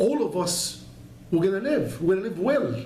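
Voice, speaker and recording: Audible room echo surrounds a man whose high-pitched voice swings very widely in pitch. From Egypt, Alexandria. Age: 60s. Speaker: entrepreneur. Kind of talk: interview.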